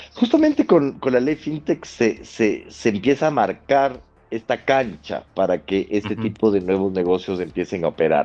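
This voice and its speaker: Speaking at a moderate pace, a man with a medium pitch uses lively intonation and has a dark, mellow tone. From Ecuador, Quito. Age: 30s. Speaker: lawyer. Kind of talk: interview. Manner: halting, many fillers and repetitions.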